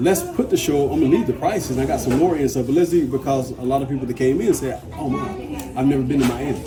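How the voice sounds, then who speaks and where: A man talks at a very fast pace with an American accent and a medium pitch. Audible room echo surrounds him, with crowd noise in the background. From US South, Georgia. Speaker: artist and navy veteran. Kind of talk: casual interview. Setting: indoors at a community store.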